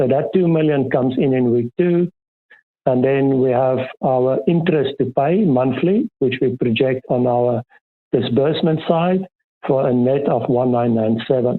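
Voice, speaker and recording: A man with a plain, everyday voice speaks at a medium pitch and moderate pace, with ordinary pitch variation and very even loudness. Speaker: financial consultant presenting a workshop. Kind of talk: workshop presentation.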